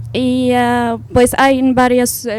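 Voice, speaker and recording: A woman speaks with an Arabic accent. Her pace is very slow. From Syria. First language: Arabic (speaking Spanish). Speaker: university student. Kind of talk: panel discussion. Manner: halting.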